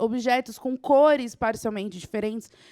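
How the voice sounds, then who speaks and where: Her high pitch moves with ordinary variation as this woman talks at a moderate pace, captured dry and close with no echo on a very clean recording with a silent background. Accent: southeastern Brazilian. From Southeast Brazil. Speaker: teacher. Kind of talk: lecture. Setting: studio.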